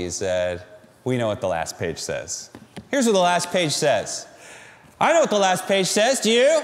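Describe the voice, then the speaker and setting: Long, frequent pauses break up a man's speech at a moderate pace. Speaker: pastor. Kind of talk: sermon preaching. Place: stage. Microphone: lapel.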